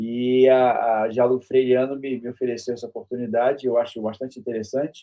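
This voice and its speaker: Fairly quick speech from a man at a medium pitch. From Brazil, Rio de Janeiro. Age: 60s. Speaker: university professor and author. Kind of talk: interview self-introduction. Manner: halting, with fillers and repetitions.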